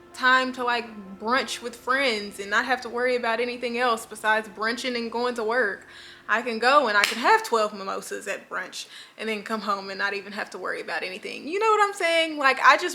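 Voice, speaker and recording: Amid noticeable background noise, a woman with a high pitch speaks fairly quickly, her loudness swinging widely. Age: 20s. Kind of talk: casual talk to camera.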